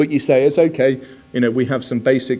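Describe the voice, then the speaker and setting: A man's medium-pitched, flat monotone in a Bristol accent, with music in the background. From southwest England, Bristol. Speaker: security specialist. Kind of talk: conference presentation. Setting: conference stage with audience. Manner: conversational, many fillers.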